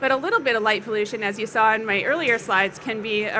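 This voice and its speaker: Over light background noise, a speaker with a western Canadian accent talks at a very fast pace with ordinary pitch variation. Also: woman. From Canada, Alberta (Calgary); Alberta. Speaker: landscape and astrophotographer; presenter. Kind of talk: presentation to an audience. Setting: stage at a trade expo with audience. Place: hall. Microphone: headset.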